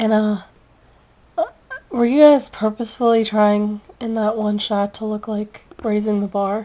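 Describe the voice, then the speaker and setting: Monotone, flat delivery at a fairly slow pace, with long, frequent pauses and noticeable background noise. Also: woman, fairly high pitch for a woman. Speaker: fan video reviewer. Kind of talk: casual vlog review. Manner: casual, filler-heavy.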